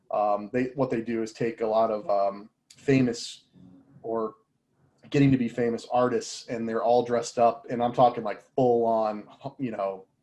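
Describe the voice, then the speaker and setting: His tone is dark and mellow. The man speaks with monotone, flat intonation. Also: medium pitch for a man, moderate pace. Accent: American. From Indiana. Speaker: audiovisual industry partner manager. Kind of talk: casual interview chat.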